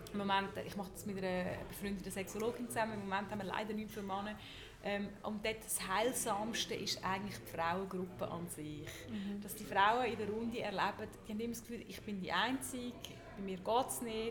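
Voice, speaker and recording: Over noticeable background noise and audible room echo, a woman with a Swiss accent speaks with fairly even intonation. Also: medium pitch for a woman, fairly quick pace. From Switzerland. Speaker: journalist and sex educator. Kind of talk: live talk before audience. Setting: hotel lobby with audience.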